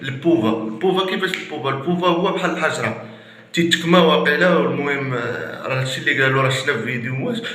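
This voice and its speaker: A man with a Moroccan accent, fairly high-pitched for a man, lively in intonation, at a fairly quick pace with hardly any pauses, amid noticeable background noise and audible room echo. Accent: Moroccan Arabic (Darija). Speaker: YouTuber. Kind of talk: casual vlog talk. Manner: repetitive, halting.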